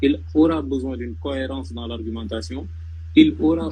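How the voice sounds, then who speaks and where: A man speaks with a very deep, low pitch and lively intonation. His moderate pace comes through with audible room echo. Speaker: former law student giving study advice. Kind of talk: live panel discussion. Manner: halting, many repetitions.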